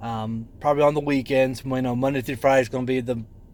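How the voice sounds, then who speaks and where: A mumbling man at a fairly quick pace, medium in pitch, with monotone, flat intonation. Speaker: vlogger documenting weight loss. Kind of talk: casual vlog monologue. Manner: rambling, hesitant with fillers.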